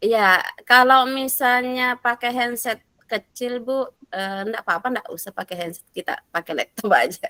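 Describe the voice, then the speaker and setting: Her high pitch and bright, sharp tone carry lively intonation as a woman speaks at a moderate pace in a dry, close sound with no echo. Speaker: facilitator of teacher training discussion forum. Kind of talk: online class discussion.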